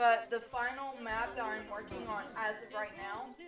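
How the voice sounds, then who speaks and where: A woman speaks at a moderate pace and fairly high pitch in a monotone, flat intonation. Noticeable background noise and audible room echo are present. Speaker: gaming streamer. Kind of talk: live stream chat. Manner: loud; halting.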